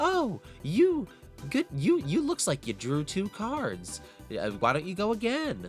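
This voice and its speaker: A put-on character voice from a man, high-pitched and at a fairly slow pace, with clear music in the background. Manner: mocking, accusatory.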